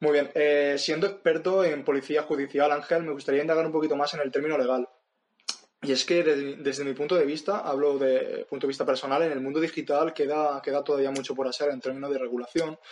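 This man has a fairly high pitch and a monotone, flat intonation. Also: fairly quick pace. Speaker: podcast host. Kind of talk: interview. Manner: halting.

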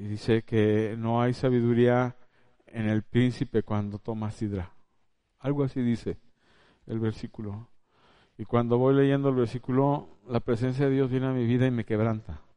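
A dark, mellow tone broken by long, frequent pauses. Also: man, medium pitch for a man, fairly even intonation, moderate pace. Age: 50s. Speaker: preacher. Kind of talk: sermon.

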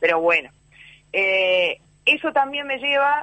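A woman talks with a Uruguayan accent. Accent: Uruguayan Rioplatense Spanish. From Uruguay, Montevideo (Cerro neighborhood). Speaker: TV journalist and actress. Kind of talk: radio interview.

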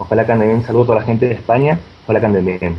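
This man's intonation stays fairly even as he races along very fast against noticeable background noise. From Argentina. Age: 20s. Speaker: magic website founder. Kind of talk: interview.

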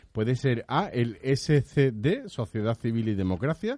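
A man is speaking. The background is quiet. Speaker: radio host. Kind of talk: comedic radio chat.

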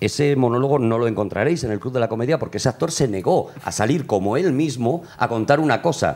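Speaking with hardly any pauses, a man uses a medium pitch and ordinary pitch variation. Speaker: comedy writer and producer. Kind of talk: interview on comedy history. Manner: loud.

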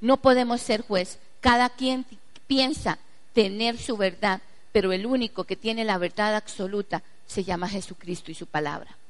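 Pitched fairly high and showing ordinary pitch variation, a woman's unremarkable speaking voice moves at a moderate pace. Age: 40s. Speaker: pastor. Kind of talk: sermon.

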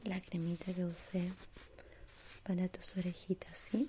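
At a very slow pace, a woman talks in a somewhat breathy voice of medium pitch. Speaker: ASMR artist. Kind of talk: ASMR personal-attention roleplay, whispered, facial spa treatment. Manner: whispered, hushed, breathy and slow, with gentle diminutives; soothing, lulling, calm, reassuring tone.

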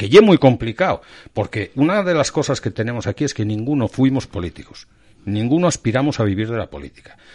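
A man with a plain, everyday voice speaks at a medium pitch and fairly quick pace, his intonation lively. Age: 50s. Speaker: local political activist. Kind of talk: interview.

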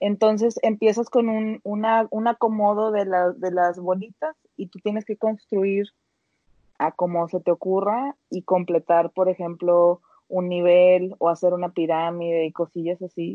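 With an ordinary speaking voice, a woman talks at a fairly slow pace, her pitch medium with ordinary variation. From Mexico, Monterrey. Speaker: podcast co-host. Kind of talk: casual chat.

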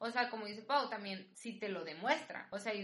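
Noticeable background noise and audible room echo frame this recording. A woman talks at a moderate pace and medium pitch, with ordinary pitch variation. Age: 20s. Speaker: podcast guest, host's best friend. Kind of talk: casual chat, personal testimony.

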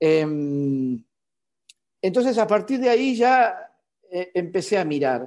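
A man's high voice at a very slow pace, with very wide pitch swings, very even loudness, long, frequent pauses and a quiet background. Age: 50s. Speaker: illustrator. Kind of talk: interview conversation.

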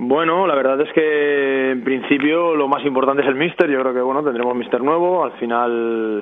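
A man speaks in a normal speaking voice at a moderate pace. His intonation stays fairly even. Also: medium pitch for a man. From Barcelona, Catalonia. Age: 30s. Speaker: footballer (goalkeeper). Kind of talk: casual interview.

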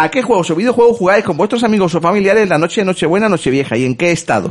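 Over noticeable background noise, a man with a high pitch talks at a very fast pace with lively intonation. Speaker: podcast host. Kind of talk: casual chat.

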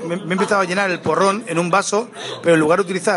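A man speaks at a very fast pace with a high pitch and fairly even intonation, with noticeable background noise behind him. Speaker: band member and podcast host. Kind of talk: casual chat. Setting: restaurant dinner before a concert.

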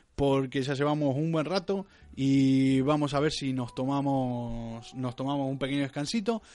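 At a moderate pace, a man with a Rioplatense accent speaks at a fairly high pitch. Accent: Argentine Spanish (rioplatense). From Argentina, Rosario. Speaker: podcast co-host. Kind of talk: casual chat. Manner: animated.

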